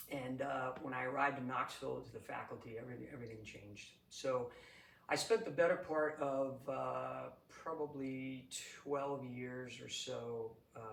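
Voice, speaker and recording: Fairly even in his intonation, a man speaks with a New England accent, with audible room echo. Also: medium pitch for a man, moderate pace, big swings in loudness. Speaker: executive coach, retired Air Force leader. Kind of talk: interview. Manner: halting, many fillers and repeats.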